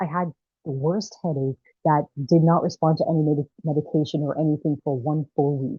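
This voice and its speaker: A woman speaks with a slight Jamaican accent. Her pitch is very deep and low. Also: fairly even intonation, fairly quick pace. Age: young. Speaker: filmmaker and actress. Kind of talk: interview conversation. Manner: halting.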